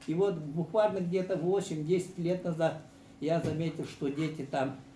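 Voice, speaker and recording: At a moderate pace, a man speaks at a fairly high pitch with ordinary pitch variation, and audible room echo surrounds him. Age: 70s. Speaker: sports journalist, former teacher. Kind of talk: panel discussion. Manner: hesitant, with frequent fillers.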